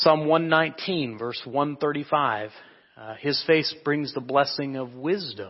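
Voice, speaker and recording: A man's fairly high voice with a Midwestern US accent, very slow in pace, with ordinary pitch variation and big swings in loudness. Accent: US Midwest. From Kansas. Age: 30s. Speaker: preacher. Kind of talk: sermon.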